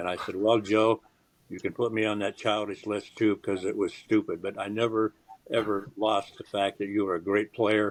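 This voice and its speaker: A man speaks at a moderate pace with a fairly low pitch and monotone, flat intonation. The background is quiet. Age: 80s+. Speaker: retired sports journalist. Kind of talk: interview.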